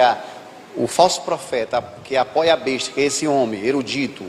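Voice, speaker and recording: With ordinary pitch variation, a man speaks fairly high in pitch as noticeable background noise plays behind him. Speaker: pastor. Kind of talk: sermon.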